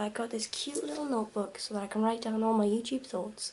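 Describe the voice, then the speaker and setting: A woman talks at a fairly quick pace. Her voice is fairly high and quiet. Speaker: vlogger. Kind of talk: vlog.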